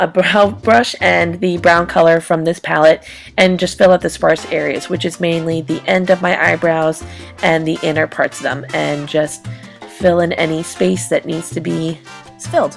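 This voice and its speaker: Music behind a woman's moderately paced speech. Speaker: beauty vlogger. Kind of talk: makeup tutorial voiceover. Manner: casual, hesitant.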